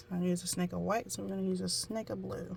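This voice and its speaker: There is noticeable background noise behind this woman speaking with an American accent. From US South. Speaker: amateur painter, tutorial vlogger. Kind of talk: casual painting tutorial. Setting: at home, child nearby.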